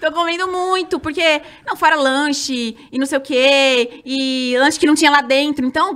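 At a fairly slow pace, a woman with a high pitch and lively intonation speaks on a very clean recording with a silent background. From São Roque, interior of São Paulo state, Brazil. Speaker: former TV dancer and reality show contestant. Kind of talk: casual interview chat.

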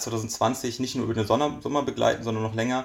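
A man at a moderate pace and medium pitch, a normal speaking voice. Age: 20s. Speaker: magician. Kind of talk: casual chat.

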